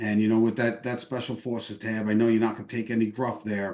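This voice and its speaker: A man speaks at medium pitch. He has a New York accent. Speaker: veterans group leader, army veteran. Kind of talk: endorsement interview. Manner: fast.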